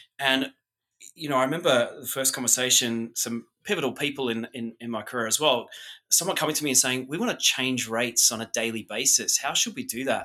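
Speaking fairly quickly with an Australian accent, a man uses a bright, sharp tone and ordinary pitch variation. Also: medium pitch for a man. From Australia, remote outback town. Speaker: hotel industry executive. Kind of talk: interview.

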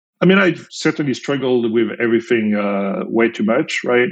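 A man with a French accent talks at a fairly quick pace. His pitch sits in the middle range. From France. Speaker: company founder and CEO. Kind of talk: interview.

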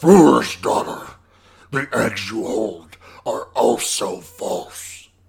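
A man puts on a raspy, menacing character voice and speaks at a very slow pace. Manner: menacing, contemptuous, grandiose.

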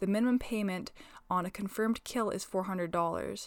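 A woman with a western Canadian accent at a moderate pace with fairly even intonation, in a very clean recording with a silent background. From northwestern Alberta, Canada. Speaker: agricultural podcast host. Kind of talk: informative solo podcast talk. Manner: casual, laughs often.

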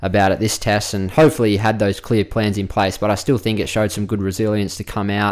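With an Australian accent, a man talks at a very fast pace with hardly any pauses, using fairly even intonation and a fairly low pitch. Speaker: cricket player and pundit. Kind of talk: casual chat.

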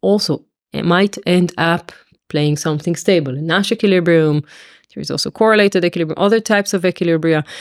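Someone with an Israeli accent speaks with ordinary pitch variation, the sound dry and close with no echo, in a very clean recording with a silent background. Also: woman. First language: Hebrew. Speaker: mathematics professor. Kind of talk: interview explanation.

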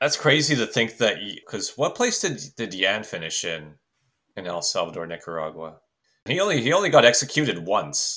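A man with a Canadian accent, medium pitch, a bright, sharp tone, and vocal fry, at a moderate pace, with very wide pitch swings and big swings in loudness, in a very clean recording with a silent background. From Canada. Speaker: podcast co-host. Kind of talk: casual chat.

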